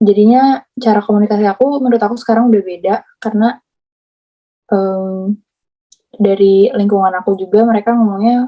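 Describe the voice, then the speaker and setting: At a fairly quick pace, a woman with a medium pitch and a dark, mellow tone talks with fairly even intonation, very even loudness, and long, frequent pauses. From Indonesia, Bandung (Sundanese). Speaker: interviewee living abroad. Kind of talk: casual interview.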